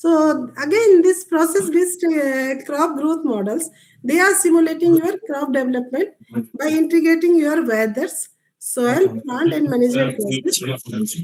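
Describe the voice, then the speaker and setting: With an Indian accent and lively intonation, a woman speaks at a high pitch. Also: fairly slow pace. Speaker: agricultural scientist. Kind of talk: lecture. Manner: halting.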